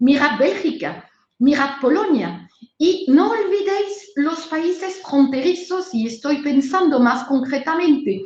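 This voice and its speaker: Very slow, lively speech from a high-pitched woman with a strong French accent, amid audible room echo. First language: French (speaking Spanish). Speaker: trade consultant / webinar instructor. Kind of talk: webinar lecture. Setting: online webinar.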